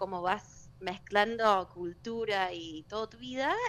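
A woman with a Cordoban Argentine accent, at a fairly slow pace with ordinary pitch variation. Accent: Argentine Spanish, Córdoba style. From US, Denver, Colorado. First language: English (speaking Spanish). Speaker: exchange student turned social media personality. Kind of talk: radio interview.

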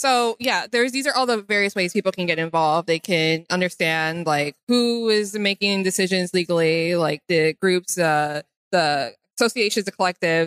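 A woman with a normal speaking voice, medium pitch, lively intonation, moderate pace and very even loudness, in a dry, close sound with no echo. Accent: American. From Chicago. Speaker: software developer. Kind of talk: casual interview. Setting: trade expo floor.

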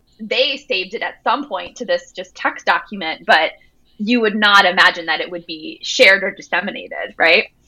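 With an ordinary speaking voice, a woman talks at a moderate pace with lively intonation and big swings in loudness. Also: medium pitch for a woman. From Jersey Shore, New Jersey. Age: 30s. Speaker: author. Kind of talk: interview.

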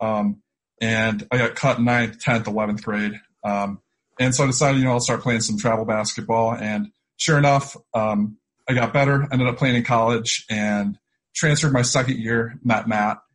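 A plain, everyday voice from a man at medium pitch, fairly even intonation and a moderate pace. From Syracuse, New York. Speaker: podcast host and trader. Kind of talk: casual interview chat. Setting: video call.

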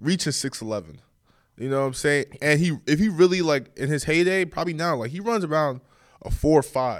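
A man with a fairly high pitch and ordinary pitch variation speaks at a fairly quick pace in a very clean recording with a silent background. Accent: American. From New York and Bergen County, New Jersey. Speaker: college basketball player. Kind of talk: interview.

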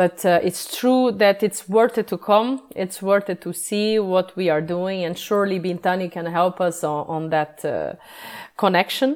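Speaking fairly slowly in a Portuguese accent, a woman uses a medium pitch with ordinary pitch variation. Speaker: yeast sensory scientist. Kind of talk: interview. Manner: halting.

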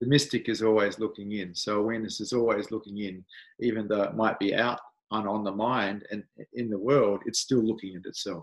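A man speaks with an Australian accent at a fairly low pitch against a quiet background. His pace is fairly quick and his intonation fairly even. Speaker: spiritual teacher. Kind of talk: interview.

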